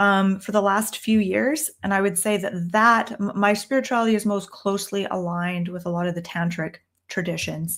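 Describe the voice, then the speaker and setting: A normal speaking voice in a Canadian accent, at a moderate pace with ordinary pitch variation, on a very clean recording with a silent background. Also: woman, medium pitch for a woman. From Canada. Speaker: tarot reader and teacher. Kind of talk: live stream Q&A. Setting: downstairs room, live stream on laptop. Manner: casual, with many fillers.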